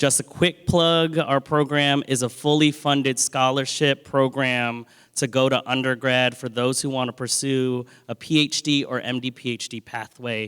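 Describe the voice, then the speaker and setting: A man with an American accent, a plain, everyday voice, medium pitch and fairly even intonation speaks at a moderate pace on a very clean recording with a silent background. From US, Washington DC area. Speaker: scholarship program director. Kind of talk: panel talk.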